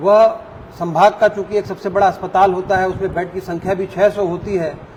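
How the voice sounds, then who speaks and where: A man at a high pitch with monotone, flat intonation and a moderate pace, over noticeable background noise. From South India (Andhra), raised in Chhattisgarh. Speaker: medical college dean, microbiology professor. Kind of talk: interview. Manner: formal.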